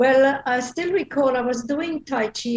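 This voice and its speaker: A woman speaks with a Belgian accent. Her pitch varies in an ordinary way. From Belgium. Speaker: feng shui practitioner. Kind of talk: interview. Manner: hesitant, with filler words.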